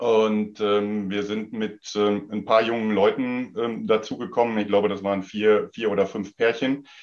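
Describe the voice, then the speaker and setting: Over a quiet background, a man speaks at a moderate pace with fairly low pitch. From Sauerland, western Germany. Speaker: tennis club official. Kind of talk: casual chat. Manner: halting.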